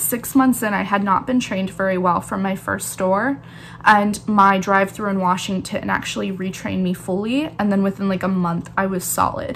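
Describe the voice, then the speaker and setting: There's noticeable background noise as a woman speaks at a moderate pace in a medium pitch. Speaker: barista and YouTuber. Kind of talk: casual vlog talk.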